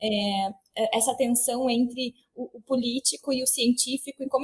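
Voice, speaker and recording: A woman's high voice with fairly even intonation, in a dry, close sound with no echo. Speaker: historian interviewer. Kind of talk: interview question. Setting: remote call.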